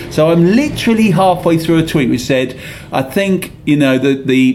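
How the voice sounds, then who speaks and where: A man speaks with normal rises and falls in pitch and an even, middling tempo, his voice carrying some room echo amid clear background noise. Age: 50s. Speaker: football podcast host. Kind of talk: casual chat.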